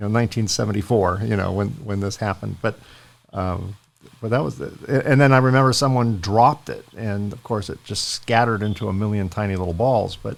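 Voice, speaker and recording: A normal speaking voice, this man talks at a fairly quick pace in a fairly low pitch with ordinary pitch variation. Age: 60s. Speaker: podcast host. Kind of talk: interview.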